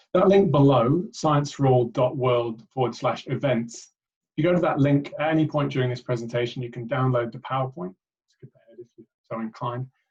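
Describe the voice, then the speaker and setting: Fairly quick, somewhat breathy speech from a man at a medium pitch, with ordinary pitch variation and big swings in loudness. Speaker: charity director and PhD researcher. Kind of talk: webinar presentation.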